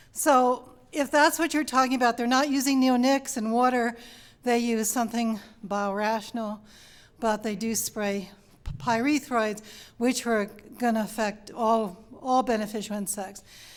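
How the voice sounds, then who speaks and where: In a New York accent, the speaker goes at a fairly slow pace with ordinary pitch variation. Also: woman. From Long Island, New York. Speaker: panel speaker on pollinators. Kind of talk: panel answer to audience question.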